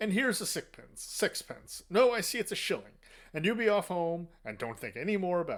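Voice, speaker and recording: In a put-on, gruff character voice pitched high for a man, he talks at a fairly quick pace on a very clean recording with a silent background. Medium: read story. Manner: blunt, brusque.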